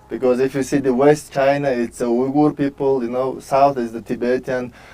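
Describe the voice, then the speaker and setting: This man talks at a moderate pace with a Mongolian accent. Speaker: author and world traveler. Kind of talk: tv interview.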